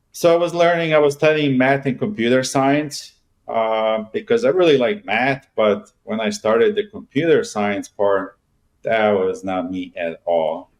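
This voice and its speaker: A man with a Bosnian accent, fairly high in pitch, fairly slow, with very wide pitch swings, against a quiet background. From Bosnia and Herzegovina, then Germany. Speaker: real estate agent. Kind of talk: interview.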